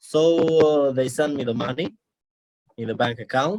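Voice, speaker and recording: A man speaks in an Albanian accent. His pitch is medium, with ordinary pitch variation. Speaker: international student. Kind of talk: interview. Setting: video call. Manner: halting.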